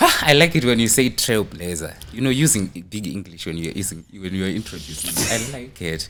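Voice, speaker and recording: With a Zimbabwean accent, a man speaks in a bright, sharp, animated tone at a fairly low pitch and a fairly quick pace, with hardly any pauses. His pitch swings very widely and his loudness shifts a great deal. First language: Shona. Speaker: MC and comedic content creator. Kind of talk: interview.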